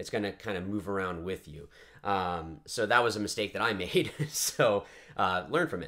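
Moderate pace, a bright, sharp tone and ordinary pitch variation from a man with a fairly low pitch, over a quiet background. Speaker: paintball channel host. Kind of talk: casual product review to camera. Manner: casual, relaxed, many fillers.

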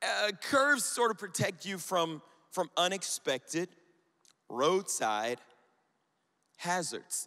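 A high-pitched man with a bright, sharp tone and very wide pitch swings, at a very slow pace with long, frequent pauses, on a very clean recording with a silent background. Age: 30s. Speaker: youth pastor. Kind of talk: sermon. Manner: animated.

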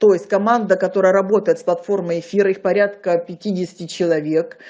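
A woman speaks fast with a slightly mellow tone. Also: fairly low pitch for a woman, fairly even intonation.

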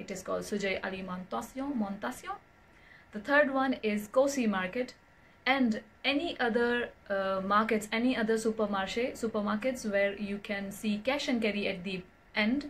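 Her voice fairly high and somewhat breathy, a woman with an Indian accent talks at a moderate pace with ordinary pitch variation. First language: Hindi. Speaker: vlogger. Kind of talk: casual vlog talk to camera. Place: home room. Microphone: phone near.

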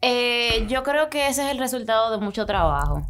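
A woman talks at a moderate pace. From Dominican Republic. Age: 20s. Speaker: singer; podcast guest. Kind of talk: interview. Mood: relaxed, friendly. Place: studio. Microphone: studio mic.

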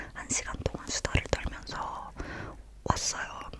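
A woman whispers at a fairly slow pace. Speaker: ASMR creator. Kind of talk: casual travel story talk. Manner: whispered. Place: home room. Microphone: studio mic.

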